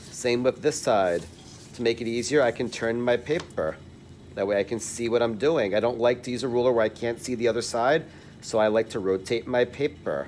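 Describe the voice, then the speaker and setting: This man has a medium pitch and a normal speaking voice. He talks at a fairly quick pace. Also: ordinary pitch variation. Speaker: art teacher. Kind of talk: tutorial.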